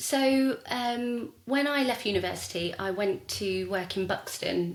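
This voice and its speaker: Over noticeable background noise, someone talks with a southern English accent and ordinary pitch variation. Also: woman. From southern England, Hertfordshire. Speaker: wedding stylist and events designer. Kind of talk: podcast interview. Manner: hesitant, many fillers.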